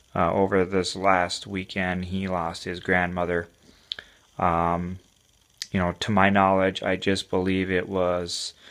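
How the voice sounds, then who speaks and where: Speaking with an American accent, a man talks fairly slowly in a very deep, low pitch with monotone, flat intonation. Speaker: fantasy football league commissioner. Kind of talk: casual monologue review. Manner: halting, with fillers.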